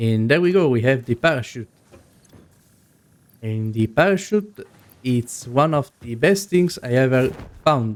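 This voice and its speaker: Pausing long and often, a man talks at a fairly slow pace and medium pitch with lively intonation. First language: not English. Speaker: gaming video creator. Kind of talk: gameplay commentary. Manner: casual.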